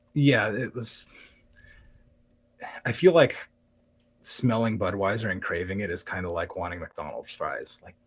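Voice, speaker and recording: With long, frequent pauses and big swings in loudness, a man speaks at a fairly slow pace in a somewhat breathy, medium-pitched voice that makes very wide pitch swings. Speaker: live streamer and craftsman. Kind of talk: interview. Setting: live-streamed podcast. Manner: calm.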